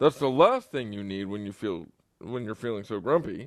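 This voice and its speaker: Using a put-on character voice, a man speaks at a moderate pace and medium pitch on a very clean recording with a silent background. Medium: read story.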